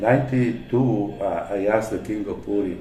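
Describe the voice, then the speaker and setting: A man at a moderate pace, with music in the background and audible room echo. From Italy. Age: 70s. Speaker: religious devotee and preacher. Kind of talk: interview. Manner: halting.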